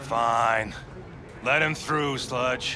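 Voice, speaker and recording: A man's put-on character voice at medium pitch, against loud background noise. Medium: video game.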